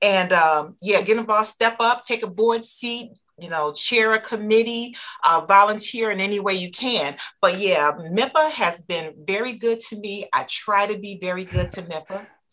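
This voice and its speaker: This woman has an unremarkable speaking voice with an American accent. Her pitch is medium, with ordinary variation, at a moderate pace. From Michigan, US. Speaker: distributor company founder. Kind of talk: casual interview.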